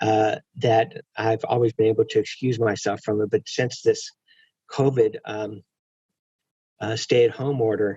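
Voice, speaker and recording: Slow-paced and somewhat breathy, a man talks at a medium pitch with fairly even intonation and long, frequent pauses. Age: 60s. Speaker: prison reform advocate, former prisoner. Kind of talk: webinar conversation. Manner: halting, many fillers and repeats.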